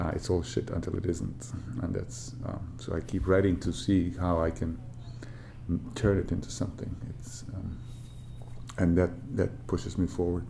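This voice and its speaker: In a Bosnian accent, a man with a very deep, low pitch speaks at a moderate pace with lively intonation and long, frequent pauses, audible room echo behind him. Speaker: author. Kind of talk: interview. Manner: halting, many fillers.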